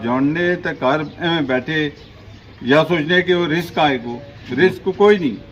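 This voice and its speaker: Noticeable background noise accompanies a man speaking. His pitch variation is ordinary. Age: 50s. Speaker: fast food shop owner. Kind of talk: interview.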